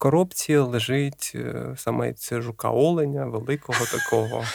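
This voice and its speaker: Pitch moves with ordinary variation. The delivery is fairly slow. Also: man. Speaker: science popularizer, biophysicist. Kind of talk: casual chat.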